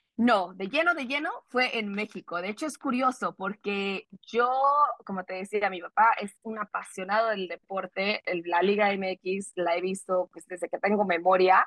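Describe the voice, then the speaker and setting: An unremarkable speaking voice from a woman at medium pitch, fairly slow, with ordinary pitch variation, big swings in loudness and a dry, close sound with no echo. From California, US (Salinas), Mexican-American family. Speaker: sports reporter. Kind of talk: casual interview.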